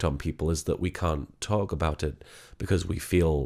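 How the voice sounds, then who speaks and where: A man speaks quietly with ordinary pitch variation on a very clean recording with a silent background. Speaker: online content creator / comedy voice actor. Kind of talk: personal vlog. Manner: speaking quietly; halting, many fillers and repetitions.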